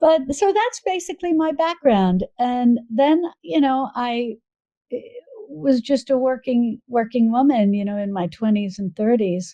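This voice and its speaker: With an American accent, a woman speaks at a fairly slow pace in a high pitch, her dark, mellow tone marked by very wide pitch swings. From US Northeast, New York suburbs. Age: 60s. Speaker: cooking video creator and cookbook author. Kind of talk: podcast interview.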